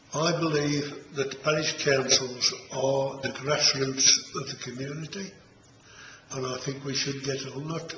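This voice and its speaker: A man talks fairly slowly at a fairly high pitch. There is noticeable background noise and audible room echo. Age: 70s. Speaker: parish council chairman. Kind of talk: interview.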